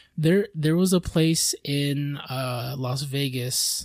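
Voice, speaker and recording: A man with an unremarkable speaking voice, fairly high pitch and ordinary pitch variation. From Filipino-American background. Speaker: podcast host. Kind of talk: casual chat.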